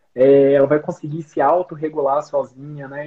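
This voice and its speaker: A man at a moderate pace. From Goiás interior, Brazil (Rio Verde). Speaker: pediatrician. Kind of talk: casual chat.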